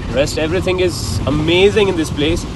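A man talks as noticeable background noise fills the recording. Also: dry sound with no echo. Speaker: travel vlogger. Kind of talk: casual vlog chat. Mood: reflective, earnest. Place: car. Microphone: phone near.

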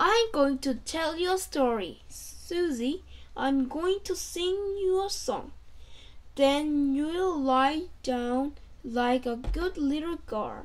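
Growling in a put-on character voice, a woman speaks at a high pitch and a very slow pace.

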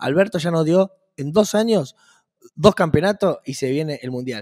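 A man's fairly high voice with lively intonation and big swings in loudness, at a moderate pace against a quiet background. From Argentina. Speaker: podcast co-host. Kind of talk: casual chat. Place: office. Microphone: studio mic.

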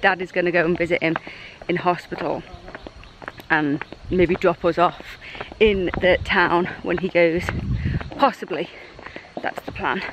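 Over noticeable background noise, a woman with a fairly low voice speaks fairly slowly with long, frequent pauses, the sound dry with no echo. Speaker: family travel vlogger. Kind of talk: casual vlog chat. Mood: concerned, chatty. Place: open country. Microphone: phone near.

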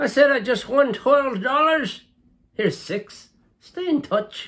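A man's cartoonish character voice, extremely high in pitch, at a fairly slow pace. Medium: puppet. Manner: wry, joking.

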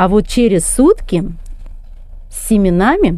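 A woman with a medium pitch and a dark, mellow tone is heard in a dry sound with no echo and a quiet background. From rural Russia. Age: 50s. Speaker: gardening vlogger. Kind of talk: tutorial. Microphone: phone near.

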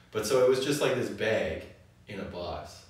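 Audible room echo colors this man's voice. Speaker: wine show co-host. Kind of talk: casual educational conversation. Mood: relaxed, jokey. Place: cafe.

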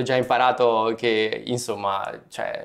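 Against a quiet background, a man speaks fairly slowly with flat, monotone intonation. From Italy. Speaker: student athlete; interviewee. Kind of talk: interview. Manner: hesitant, many fillers. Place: studio.

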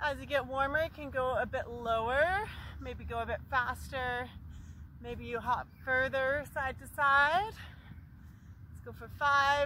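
A woman speaks at a very slow pace, with a dry sound with no echo and light background noise. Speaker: fitness instructor. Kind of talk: workout instruction. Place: open country.

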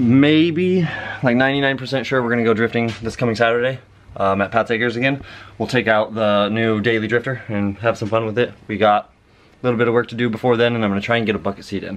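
Ordinary pitch variation runs through speech delivered at a fairly quick pace. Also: man. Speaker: car hobbyist vlogger. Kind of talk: casual vlog chat. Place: garage. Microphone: phone near.

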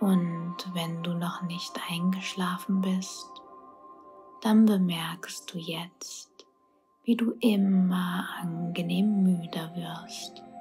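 A woman's soothing, fairly low voice at a very slow pace, with fairly even intonation and music in the background. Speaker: hypnosis / meditation guide. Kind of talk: sleep hypnosis guided narration. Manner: slow, calming, soothing.

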